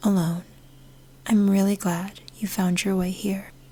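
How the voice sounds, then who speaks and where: Calm in tone, a woman speaks at a medium pitch in a somewhat breathy voice. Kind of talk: podcast intro. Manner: soft-spoken, calm.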